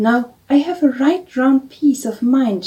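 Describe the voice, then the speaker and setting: This is a put-on character voice with a gruff sound. It moves at a very slow pace. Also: female-sounding voice. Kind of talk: archaic, old-fashioned speech. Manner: angry, gruff, like an angry bull.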